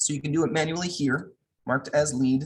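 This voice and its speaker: A man's voice, carrying some breathiness, rises and falls with lively inflection. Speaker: tech trainer. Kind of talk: online training tutorial. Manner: fast.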